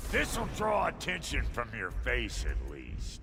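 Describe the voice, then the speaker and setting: Putting on a character voice, a man drawls at a fairly slow pace against clear background noise. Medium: video game. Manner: drawling, crude.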